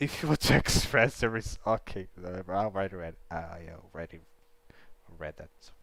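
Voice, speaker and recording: A man with a Brazilian accent speaks at a very deep, low pitch. His intonation is lively, and his loudness swings a lot. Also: moderate pace. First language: Portuguese. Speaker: livestreamer learning Japanese. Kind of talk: casual live study stream. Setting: livestream. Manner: halting, self-correcting.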